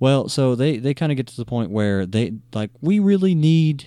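A man's voice of medium pitch carries a dark, mellow tone. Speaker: podcast host. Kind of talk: casual chat.

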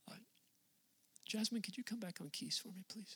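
The man's delivery is fairly quick. He speaks in an animated tone. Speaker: pastor. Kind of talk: sermon. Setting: church. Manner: casual and conversational, joking with the crowd.

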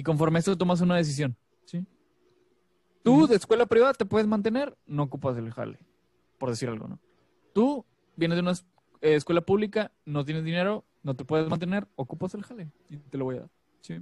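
A high-pitched man's voice at a fairly quick pace, with very wide pitch swings, big swings in loudness and long, frequent pauses. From Monterrey, northern Mexico. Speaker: podcast host. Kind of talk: casual chat.

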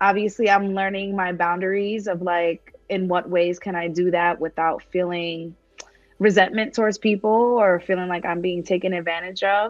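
Music plays in the background while a woman talks at a moderate pace. Her voice sits at a medium pitch, with monotone, flat intonation. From New York. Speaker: women's community founder, speaker. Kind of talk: casual interview.

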